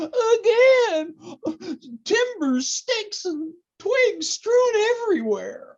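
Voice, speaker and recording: An extremely high-pitched put-on character voice at a very slow pace. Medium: audio drama. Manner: giggly, stammering.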